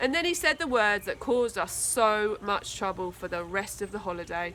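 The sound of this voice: A woman speaks at medium pitch and a moderate pace. Her intonation is lively and her tone fairly bright.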